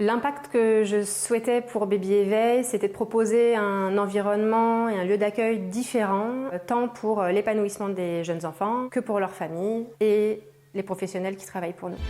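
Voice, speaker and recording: Fairly even intonation in a dark, mellow tone, delivered at a fairly slow pace. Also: woman, medium pitch for a woman. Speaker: early childhood educator and company co-founder. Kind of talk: interview and guided tour. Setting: inside a nursery. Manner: soft-spoken.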